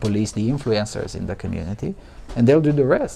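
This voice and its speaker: With a Romanian accent, the speaker talks at a fairly quick pace with ordinary pitch variation over noticeable background noise. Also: man. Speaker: journalist, conference speaker. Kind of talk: conference Q&A answer. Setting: conference with live audience. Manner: halting, many false starts.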